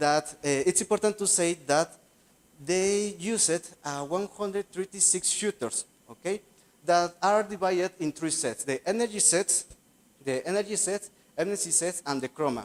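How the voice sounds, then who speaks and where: A man with a Spanish accent and a high pitch speaks with ordinary pitch variation in a dry, close sound with no echo. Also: moderate pace. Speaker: graduate student researcher. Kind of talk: conference presentation. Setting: conference session. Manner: halting.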